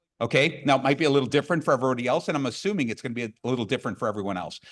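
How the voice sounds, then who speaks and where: A man speaks loudly in an animated tone on a very clean recording with a silent background. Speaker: business coach and motivational speaker. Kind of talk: conference keynote talk. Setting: stage with audience.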